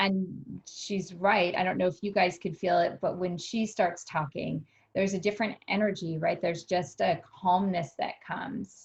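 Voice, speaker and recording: Her voice is medium in pitch and somewhat breathy. The woman keeps a moderate pace and fairly even intonation. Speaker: wellness workshop host. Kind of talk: video call discussion. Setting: video call.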